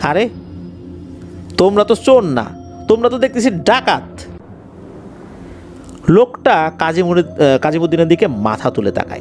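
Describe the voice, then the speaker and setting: Against music in the background, a man with a high pitch speaks with lively intonation. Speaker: horror story radio host / narrator. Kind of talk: horror story narration in radio style.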